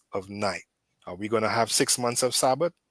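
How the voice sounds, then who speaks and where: A man speaks with a Caribbean accent on a very clean recording with a silent background and a dry, close sound with no echo. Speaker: debate caller defending Adventist views. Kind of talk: heated debate. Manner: repetitive, frequent fillers like right and so.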